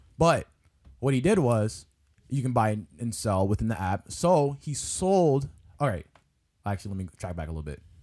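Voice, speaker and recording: Pausing long and often, a man speaks at a moderate pace around a medium pitch, with very wide pitch swings. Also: very clean recording, silent background. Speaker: podcast co-host. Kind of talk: casual chat.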